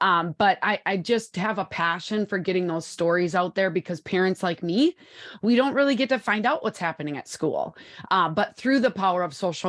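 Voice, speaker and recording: A woman speaks with a Wisconsin accent at a fairly quick pace, with ordinary pitch variation. The background is quiet. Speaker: social media consultant and author. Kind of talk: interview podcast.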